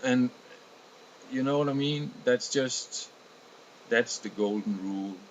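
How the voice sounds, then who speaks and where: A man with a Danish accent, medium in pitch, at a fairly slow pace, with ordinary pitch variation and long, frequent pauses. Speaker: video blogger. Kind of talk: casual monologue. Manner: halting.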